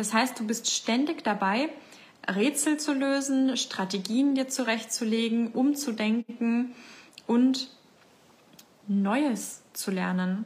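The delivery is at a very slow pace with ordinary pitch variation and long, frequent pauses. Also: woman, fairly high pitch for a woman. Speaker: life coach and podcast host. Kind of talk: facebook live talk to community. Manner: casual, with many fillers.

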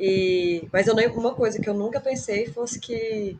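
A plain, everyday voice, fairly high in pitch, comes from a woman speaking at a fairly slow pace. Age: 30s. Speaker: nutrition student, former lawyer, gamer. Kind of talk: casual chat.

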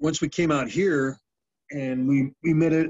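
Fairly high in pitch, a man talks with an American accent in an unremarkable speaking voice. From US, Navy family. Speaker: former pro football player. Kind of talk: casual chat.

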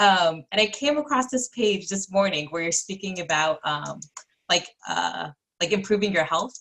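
This woman has an ordinary speaking voice at medium pitch. Her intonation is lively and her pace moderate. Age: young. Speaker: co-interviewer. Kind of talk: casual chat.

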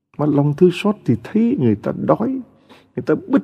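A man's somewhat breathy voice moves through very wide pitch swings. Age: 60s. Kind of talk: sermon.

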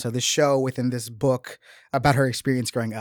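Recorded very cleanly against a silent background with a dry, close sound and no echo, a man with a plain, everyday voice speaks at a medium pitch, a fairly quick pace and fairly even intonation. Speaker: podcast host. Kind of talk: casual book discussion.

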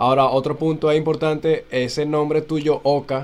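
This man's voice sits fairly high in pitch. He keeps a moderate pace with monotone, flat intonation. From Venezuela, Valles del Tuy. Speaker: podcast co-host. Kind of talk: casual interview.

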